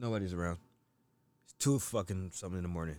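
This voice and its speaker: A very fast man's voice with an American accent, very deep and low in pitch. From US. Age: 30s. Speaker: podcast guest. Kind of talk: casual chat.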